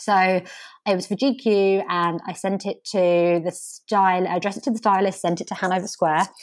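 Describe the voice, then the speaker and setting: A woman speaks at a medium pitch with a southeast English accent. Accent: south-east English. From Kent, south-east England. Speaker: communications professional. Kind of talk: interview. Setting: remote call.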